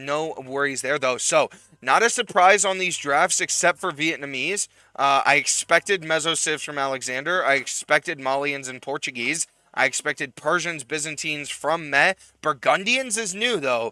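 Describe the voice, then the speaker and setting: A man speaks loudly at a moderate pace with a fairly high pitch, ordinary pitch variation, and a bright, sharp tone, recorded dry and close with no echo. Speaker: esports caster. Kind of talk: live commentary. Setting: live stream.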